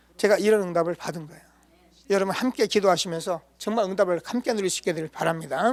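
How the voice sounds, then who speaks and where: A man with a high voice talks at a very fast pace, his loudness swinging widely. Pitch moves in an ordinary way, and the sound is dry and close with no echo. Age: 60s. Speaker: pastor. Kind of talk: sermon. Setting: church.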